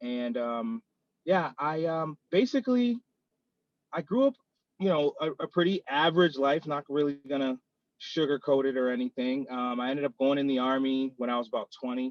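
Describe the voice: In an American accent, a man talks at a moderate pace and medium pitch with ordinary pitch variation and a dry, close sound with no echo.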